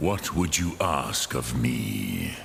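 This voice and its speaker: Growling in a put-on character voice, a man speaks at a very deep, low pitch, with clear echo and clear background noise behind him. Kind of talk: archaic formal speech. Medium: video game. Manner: slow, measured, sprinkled with dragon words.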